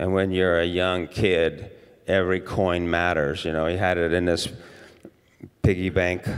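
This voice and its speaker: Against a quiet background, a man with a very deep, low pitch speaks at a fairly slow pace in a monotone, flat intonation, with long, frequent pauses. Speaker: pastor. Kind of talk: sermon. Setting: church. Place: church. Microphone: handheld.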